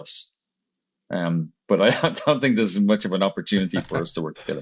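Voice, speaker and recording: With an Irish accent, a man with a very deep, low pitch talks at a very fast pace. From Ireland. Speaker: marketing agency executive. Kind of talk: interview.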